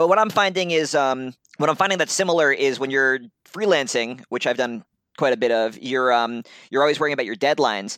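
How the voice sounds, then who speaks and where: A man with an American accent talks at a fairly quick pace in a medium pitch, with lively intonation. His tone is bright and sharp, on a very clean recording with a silent background. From US Northeast, Brooklyn and upstate New York. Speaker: comics journalist. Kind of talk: casual chat.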